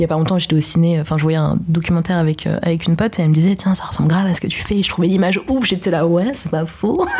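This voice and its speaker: Speech rushes at a very fast pace with hardly any pauses and very even loudness. Noticeable background noise sits underneath. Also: woman, fairly low pitch for a woman. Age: 20s. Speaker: web video director. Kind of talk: interview. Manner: casual, hesitant with fillers.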